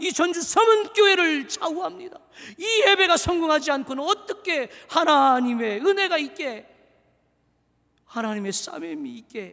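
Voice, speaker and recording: Bright and sharp in tone, a man speaks in a raised, projected voice with lively intonation. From Seoul. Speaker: pastor. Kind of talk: sermon. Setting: church. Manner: animated.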